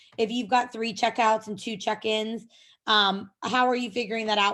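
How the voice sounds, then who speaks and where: A woman with an unremarkable speaking voice talks at a moderate pace in a fairly high pitch. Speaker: software company presenter. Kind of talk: webinar presentation.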